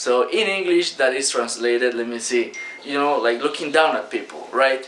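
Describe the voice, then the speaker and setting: A Spanish accent against noticeable background noise. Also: man, medium pitch for a man, ordinary pitch variation, moderate pace. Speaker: online business coach. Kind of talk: talking-head video lesson. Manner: casual, many fillers.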